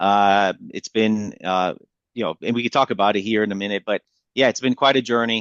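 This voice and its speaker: The man has a Spanish accent and a fairly low pitch. He speaks at a fairly quick pace with fairly even intonation. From South Florida (Miami area), from age nine; early childhood in Colombia. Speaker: military veteran turned marketing business owner. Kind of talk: podcast interview. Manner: hesitant, many fillers.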